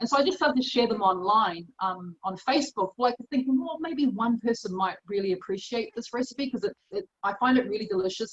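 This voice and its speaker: Lively intonation marks this woman's fairly high-pitched voice, delivered at a fairly quick pace. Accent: New Zealand. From New Zealand. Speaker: chef and cookbook author. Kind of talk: interview answer. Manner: casual, conversational.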